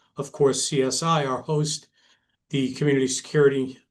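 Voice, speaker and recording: A man with an American accent. His voice sits at a medium pitch, and his intonation stays fairly even. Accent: Brooklyn accent, somewhat diluted. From New York, Brooklyn. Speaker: retired police detective, security director. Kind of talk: webinar presentation. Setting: online webinar.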